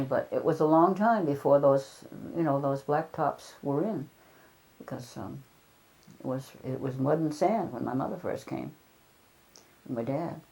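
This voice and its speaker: Marked by vocal fry, a woman's very deep, low voice carries a dark, mellow tone, ordinary pitch variation and long, frequent pauses. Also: moderate pace. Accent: New England. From Chatham, Cape Cod, Massachusetts. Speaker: retired school principal. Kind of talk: oral history interview answer.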